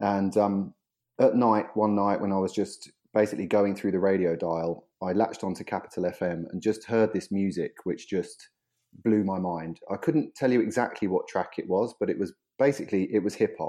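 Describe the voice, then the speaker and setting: A man with a southern English accent at a moderate pace, quiet background. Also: fairly low pitch for a man, ordinary pitch variation. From southeast England. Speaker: music industry executive. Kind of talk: casual interview. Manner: halting.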